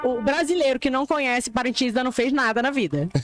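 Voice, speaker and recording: With music playing in the background, a woman speaks in a high-pitched voice, the sound dry and close with no echo. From Amazonas, Brazil. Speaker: influencer. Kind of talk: interview.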